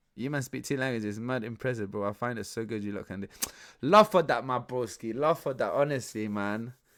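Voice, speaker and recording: On a very clean recording with a silent background, a man speaks in a medium pitch with ordinary pitch variation. His tone is animated and his pace fairly quick. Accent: London. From West London, Ecuadorian family. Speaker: streamer reacting to podcast. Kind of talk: casual live stream commentary. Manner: animated, repetitive.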